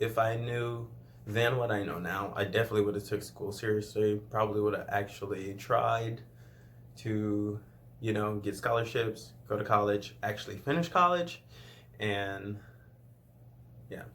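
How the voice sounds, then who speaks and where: A man with a fairly low pitch talks at a moderate pace with ordinary pitch variation and long, frequent pauses. Audible room echo surrounds his voice. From Louisiana (rural southwest). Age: 20s. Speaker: YouTuber. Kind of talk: casual Q&A vlog.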